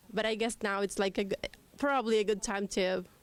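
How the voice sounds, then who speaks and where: With a Spanish accent, a woman speaks at a medium pitch with fairly even intonation. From Cuba. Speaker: immigrant rights advocate. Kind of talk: panel talk. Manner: hesitant, many fillers.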